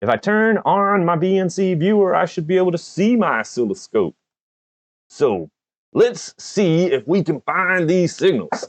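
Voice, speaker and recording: A man with an American accent speaks at a high pitch and a fairly slow pace. His pitch variation is ordinary, and the sound is dry and close with no echo. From US South, Georgia. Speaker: electronics YouTuber. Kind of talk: live stream tutorial.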